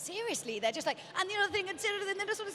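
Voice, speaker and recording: A woman races through her words at a very fast pace amid noticeable background noise. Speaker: event show host. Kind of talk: casual interview chat. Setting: studio.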